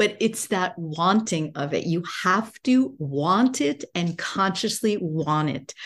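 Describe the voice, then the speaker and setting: A woman with an American accent talks at a very slow pace with hardly any pauses, her pitch fairly low and her intonation lively. Noticeable background noise runs underneath. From United States. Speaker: business coach and entrepreneur. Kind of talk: podcast interview.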